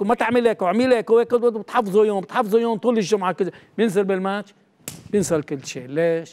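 A man's high voice at a fairly quick pace, with ordinary pitch variation, against a quiet background. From Lebanon, Beirut; Lebanon. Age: 70s. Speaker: retired football coach; interview guest, football coach. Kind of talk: TV interview. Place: studio.

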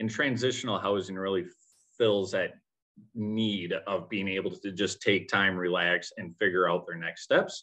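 At a moderate pace, a man talks in a normal speaking voice, fairly low in pitch with fairly even intonation. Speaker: community organizer. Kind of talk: presentation.

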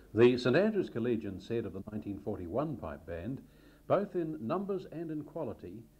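The voice has a dark, mellow tone with vocal fry and very wide pitch swings. The pace is moderate. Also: man. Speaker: narrator reading school history. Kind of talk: scripted narration of school history. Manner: formal, even-paced.

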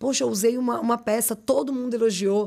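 A woman is talking fairly quickly. Behind her, things are quiet. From Brazil, São Bernardo (São Paulo area); São Paulo, Brazil. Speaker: fashion brand owner and designer; podcast guest. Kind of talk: interview, casual chat. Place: studio. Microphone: studio mic.

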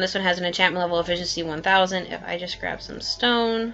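A woman's medium-pitched voice with fairly even intonation, music playing in the background. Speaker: Minecraft map maker. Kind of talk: casual tutorial narration.

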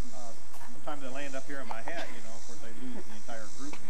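A man keeps a fairly quick pace while noticeable background noise sounds behind him. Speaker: park ranger tour guide. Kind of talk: tour briefing to a group. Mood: friendly, joking. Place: forest. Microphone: old recording.

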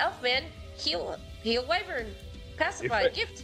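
A put-on character voice at a fairly slow pace, with clear music in the background. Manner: broken, clipped speech.

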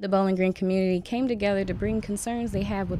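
Over light background noise, a woman speaks at a very fast pace with a dry sound and no echo. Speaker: news anchor and reporter. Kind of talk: broadcast news anchor and reporter delivery.

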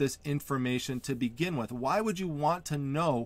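A man talks at a moderate pace, his intonation lively. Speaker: online reseller channel host. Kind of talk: tutorial. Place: home room.

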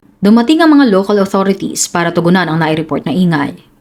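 This woman has a normal speaking voice, medium in pitch, with lively intonation. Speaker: true crime storyteller. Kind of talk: dramatic scripted crime narration. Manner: grave, suspenseful, measured storytelling pace; formal, serious news-report-like delivery.

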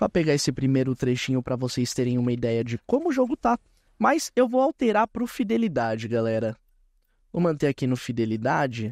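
Over a quiet background, a man with a Brazilian accent talks at a fairly quick pace in an enthusiastic tone, the sound dry with no echo. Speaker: gaming YouTuber. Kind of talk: live gameplay commentary. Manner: casual, enthusiastic. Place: home room. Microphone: headset.

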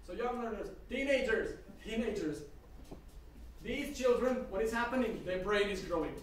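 A man speaks at a moderate pace with an extremely high pitch. Light background noise and audible room echo are present. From Slovakia (Sturovo, Hungarian-speaking border town). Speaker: language teacher and school founder. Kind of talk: conference presentation. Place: classroom. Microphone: camera far.

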